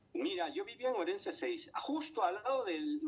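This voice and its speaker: Very wide pitch swings run through what this man says. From Panama. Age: 70s. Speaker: painter and psychologist. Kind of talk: radio interview. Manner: halting, many fillers.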